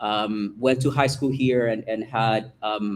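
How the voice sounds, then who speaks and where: A man with a Salvadoran accent speaks fairly slowly in monotone, flat intonation. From El Salvador. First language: Spanish. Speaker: school principal. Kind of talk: self-introduction at board meeting. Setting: meeting room with microphone.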